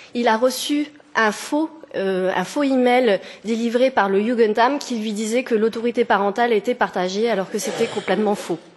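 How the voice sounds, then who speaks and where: Noticeable background noise runs under a woman's fairly high-pitched voice. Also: ordinary pitch variation, moderate pace. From France. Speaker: petitioner. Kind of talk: testimony. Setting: parliamentary committee hearing. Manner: halting, with hesitations.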